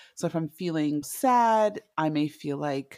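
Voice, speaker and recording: In a very clean recording with a silent background and a dry, close sound with no echo, a woman's very deep, low, dark and mellow voice carries lively intonation. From Zimbabwe. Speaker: tea business founder. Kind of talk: interview.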